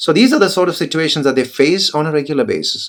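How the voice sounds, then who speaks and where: In a Keralan accent, a man speaks at a fairly high pitch with very wide swings. The recording is very clean, with a silent background. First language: Malayalam. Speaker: English teacher. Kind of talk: motivational talk to camera.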